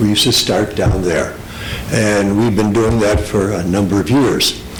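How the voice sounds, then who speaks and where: Both background noise and room echo are noticeable. The intonation is fairly even and the loudness very even. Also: man, fairly low pitch for a man, moderate pace. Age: 70s. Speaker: public commenter at meeting. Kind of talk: public comment at meeting. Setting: town hall public meeting. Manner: halting.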